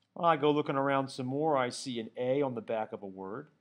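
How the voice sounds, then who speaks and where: A man's medium-pitched voice with ordinary pitch variation, a plain, everyday voice. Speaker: Latin teacher. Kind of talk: tutorial.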